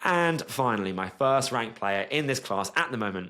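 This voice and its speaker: The recording is very clean, with a silent background. A man with a British accent talks at a moderate pace in an animated tone. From Britain. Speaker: sports analyst youtuber. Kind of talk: commentary video monologue.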